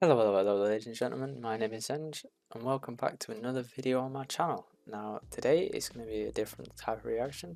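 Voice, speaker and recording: Speaking with a British accent, a man talks at a very fast pace with hardly any pauses and a medium pitch. His intonation is lively, and his loudness swings a lot. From UK. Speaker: reaction video creator. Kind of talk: casual commentary. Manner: hesitant, filler-heavy.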